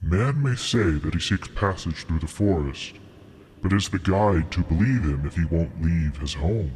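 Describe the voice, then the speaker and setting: A man uses a put-on character voice with a very deep, low pitch at a moderate pace. Clear background noise runs underneath. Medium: read story. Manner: lofty, formal, cryptic.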